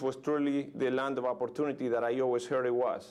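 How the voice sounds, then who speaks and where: This man speaks with a Uruguayan accent at a medium pitch. His pace is very fast. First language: Spanish. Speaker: motivational speaker. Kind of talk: motivational keynote speech. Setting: live audience, conference room. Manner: enthusiastic.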